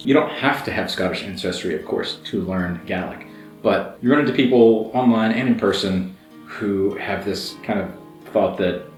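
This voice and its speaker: An enthusiastic male voice at a moderate pace, with ordinary pitch variation and music playing behind it. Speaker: language learner, YouTuber. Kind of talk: casual talk to camera. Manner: enthusiastic, conversational.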